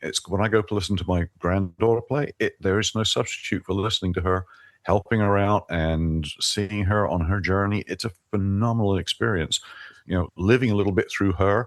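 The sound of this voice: Low in pitch, a man speaks at a fairly quick pace. His intonation is fairly even.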